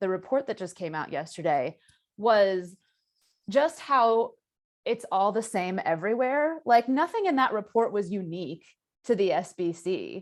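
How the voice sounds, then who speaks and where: On a very clean recording with a silent background, a woman speaks at a medium pitch with very wide pitch swings. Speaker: panelist, writer and survivor advocate. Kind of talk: panel discussion. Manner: fast.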